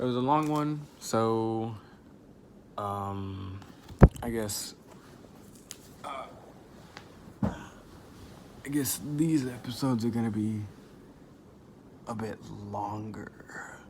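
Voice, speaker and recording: At a very slow pace and with long, frequent pauses, a man of medium pitch speaks amid audible room echo. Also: ordinary pitch variation. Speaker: gaming content creator. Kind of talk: reading aloud. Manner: halting, stuttering.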